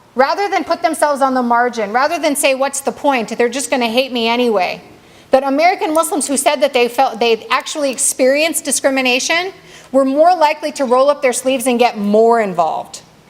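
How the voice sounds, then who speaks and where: There is noticeable background noise as a woman talks at a fairly quick pace. Her voice is high, with lively intonation. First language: not Arabic. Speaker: community speaker at mosque banquet. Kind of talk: banquet speech. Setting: banquet hall with audience. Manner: halting, self-correcting.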